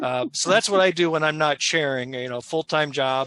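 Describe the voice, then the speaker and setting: In an upstate New York accent, a man speaks at a moderate pace and fairly high pitch with ordinary pitch variation and a bright, sharp tone, the sound dry and close with no echo. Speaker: local party chair, roundtable moderator. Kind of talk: panel discussion.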